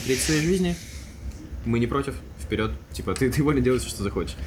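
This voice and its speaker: Against noticeable background noise and audible room echo, a man talks at a very fast pace. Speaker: podcast co-host. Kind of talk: casual chat. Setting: studio.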